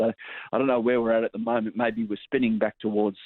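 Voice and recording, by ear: A man speaks with fairly even intonation. The sound is dry and close, with no echo.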